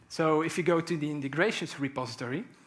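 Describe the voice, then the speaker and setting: In a very clean recording with a silent background, a man with a fairly high pitch and vocal fry speaks at a moderate pace with ordinary pitch variation. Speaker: conference speaker, software engineer. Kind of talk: technical conference talk. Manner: hesitant, many fillers.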